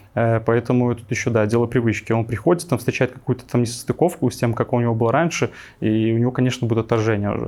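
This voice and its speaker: A man speaks at a medium pitch and a very fast pace, his intonation fairly even. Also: very clean recording, silent background. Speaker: frontend developer and coding teacher. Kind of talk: casual interview chat.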